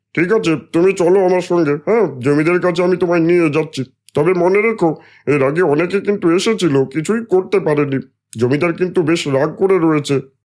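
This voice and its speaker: In a cartoonish character voice, a man speaks high-pitched at a moderate pace. The recording is very clean, the background silent. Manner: loud, brusque.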